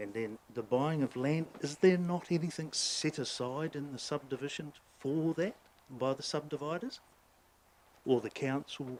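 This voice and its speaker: A man with a New Zealand accent talks at a fairly high pitch. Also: ordinary pitch variation, moderate pace. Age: 60s. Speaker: ratepayer making a submission to council. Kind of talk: public hearing submission. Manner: halting.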